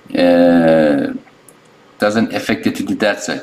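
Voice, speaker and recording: A man with a non-native accent at a very slow pace. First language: not English. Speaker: phone repair technician. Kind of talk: tutorial. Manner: halting, many fillers and restarts.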